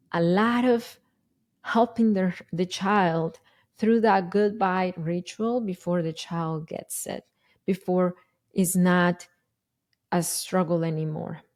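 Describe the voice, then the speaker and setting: At a very slow pace with long, frequent pauses, the speaker uses fairly even intonation and a strong Spanish accent. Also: woman, medium pitch for a woman. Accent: thick Spanish. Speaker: parenting educator and podcast host. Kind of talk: podcast monologue. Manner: casual, with hesitations and self-corrections.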